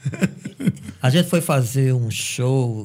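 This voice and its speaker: Speaking at a very slow pace, a man has a medium-pitched voice. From Brazil, Paraíba (Cajazeiras). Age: 50s. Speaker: teacher and musician. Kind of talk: casual chat.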